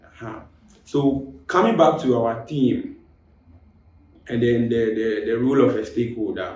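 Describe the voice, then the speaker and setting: A man's somewhat breathy, dark, mellow voice at a medium pitch and moderate pace, with ordinary pitch variation and audible room echo. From Ghana, raised in Kumasi, Ashanti region. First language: Twi (Ashanti); Fanti by heritage. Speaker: podcast guest, university student. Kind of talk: casual podcast discussion. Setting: studio. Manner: halting, repeats words.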